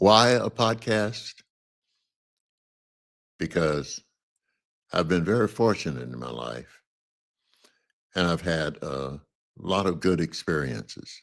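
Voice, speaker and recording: Speaking very slowly with long, frequent pauses, a man with an American accent uses a very deep, low voice with vocal fry, very wide pitch swings and big swings in loudness. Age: 80s+. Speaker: social activist, former university professor. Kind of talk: podcast introduction talk.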